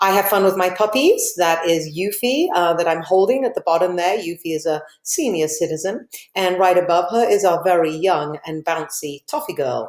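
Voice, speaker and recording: A woman's fairly low voice with an English accent. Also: ordinary pitch variation, moderate pace. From England, Liverpool. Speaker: teacher. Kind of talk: class welcome presentation.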